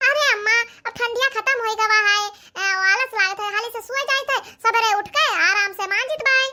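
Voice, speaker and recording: Putting on a squeaky, cartoonish character voice, a woman talks at an extremely high pitch with ordinary pitch variation and a moderate pace. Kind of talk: comic cartoon sketch acting. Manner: chatty, bickering.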